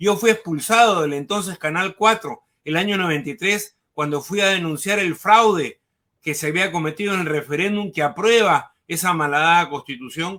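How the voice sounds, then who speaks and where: A man with a high pitch and a bright, sharp tone speaks at a moderate pace with ordinary pitch variation. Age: 60s. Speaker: former education minister, political analyst. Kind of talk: political interview.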